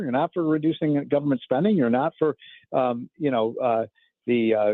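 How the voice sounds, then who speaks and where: It's a plain, everyday voice. The delivery moves along fairly quickly. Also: man. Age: 60s. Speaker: economic commentator. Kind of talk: radio interview.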